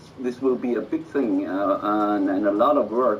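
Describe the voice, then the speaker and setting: A man speaks over noticeable background noise. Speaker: metal musician. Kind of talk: interview. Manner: halting, many fillers and repeats.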